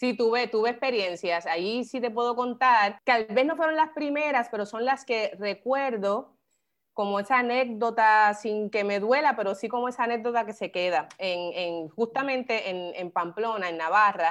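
A woman talks at a moderate pace and fairly high pitch, with hardly any pauses. Her pitch varies in an ordinary way, and the background is quiet. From Puerto Rico, Carolina. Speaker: photographer and photography professor. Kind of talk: interview. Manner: halting, many repetitions.

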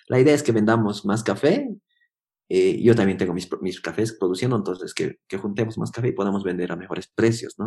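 Speaking at a fairly quick pace, a man with a fairly low pitch and a dark, mellow tone shows ordinary pitch variation and big swings in loudness. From Bolivia, Yungas region. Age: 30s. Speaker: coffee producer and roaster. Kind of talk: interview. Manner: halting, many fillers and repetitions.

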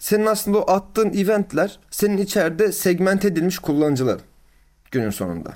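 A man talks at a very fast pace in a high voice. His pitch varies an ordinary amount. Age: 20s. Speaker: growth marketing consultant. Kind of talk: casual interview. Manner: frequent filler hesitations.

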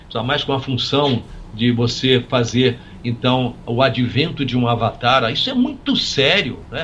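Amid noticeable background noise, a man talks fairly slowly at medium pitch with fairly even intonation. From Brazil, Minas Gerais (São Lourenço). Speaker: physician and author. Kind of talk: interview conversation. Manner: halting, with many repetitions.

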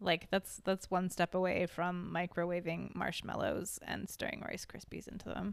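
A woman speaks with a fairly low pitch and vocal fry. Her intonation is monotone and flat, at a moderate pace. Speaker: guest, host's sister. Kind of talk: casual chat.

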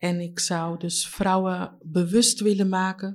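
A woman talks at a very slow pace and a medium pitch. The recording is very clean, with a silent background. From Leiden, Netherlands. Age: 30s. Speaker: community member, former care worker. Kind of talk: interview testimony.

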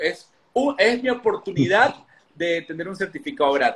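A man's high voice at a moderate pace. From Ecuador. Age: 30s. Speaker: political consultant. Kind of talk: interview.

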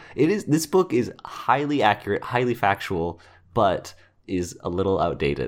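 With vocal fry and very wide pitch swings, the speaker keeps a moderate pace. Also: man, medium pitch for a man. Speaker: video game podcast co-host. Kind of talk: casual chat. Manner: talkative.

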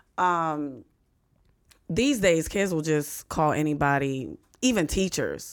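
A woman with an American accent and a very deep, low pitch speaks at a very slow pace with long, frequent pauses, lively intonation and very even loudness, in a very clean recording with a silent background. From US, western Pennsylvania (near Pittsburgh). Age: middle-aged. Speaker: stand-up comedian and sports radio host. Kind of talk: casual chat.

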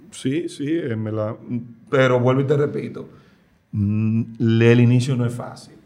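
In a room with audible echo, a man with a medium pitch and a dark, mellow tone talks at a very slow pace, with fairly even intonation and long, frequent pauses. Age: 40s. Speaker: cook. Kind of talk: casual chat.

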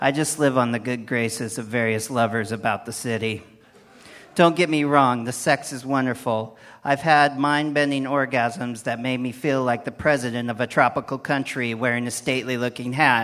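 A man with a normal speaking voice talks at medium pitch and a moderate pace, his intonation fairly even. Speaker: poet. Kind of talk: comic poetry performance.

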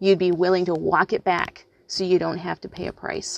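A woman at a moderate pace and medium pitch, with a dry, close sound and no echo. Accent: American. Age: 40s. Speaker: podcast host. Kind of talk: solo commentary. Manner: hesitant, many fillers.

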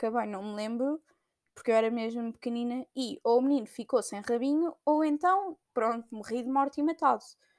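A woman's high voice at a moderate pace with ordinary pitch variation, on a very clean recording with a silent background. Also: dry, close sound with no echo. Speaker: podcaster. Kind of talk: casual monologue. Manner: hesitant, many fillers.

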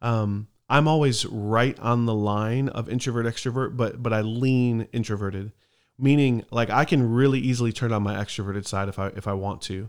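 A man uses a plain, everyday voice at a medium pitch, speaking at a moderate pace with fairly even intonation in a very clean recording with a silent background. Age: 30s. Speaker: podcast host, church worker. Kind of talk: casual chat.

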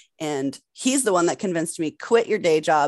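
Against a quiet background, a woman with an American accent speaks in a very deep, low pitch with lively intonation, in a dry, close sound with no echo. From Massachusetts. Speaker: adult performer and director. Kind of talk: casual interview.

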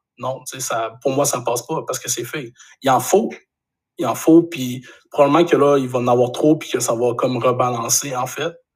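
A man talks at a moderate pace in a somewhat breathy voice with fairly even intonation. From Quebec, Saguenay region. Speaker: graphic designer and photographer. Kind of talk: casual interview chat.

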